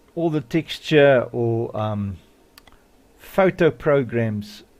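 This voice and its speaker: Here a man speaks with lively intonation. His pitch sits in the medium range. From South Africa. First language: Afrikaans. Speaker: modding tutorial youtuber. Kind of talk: tutorial. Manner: casual, hesitant with many fillers.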